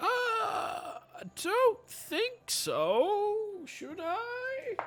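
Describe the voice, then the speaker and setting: Extremely high pitch in a put-on character voice. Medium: actual play. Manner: doting, chatty.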